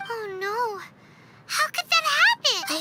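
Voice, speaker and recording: A put-on character voice, squeaky and at an extremely high pitch, carries the clip. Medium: video game.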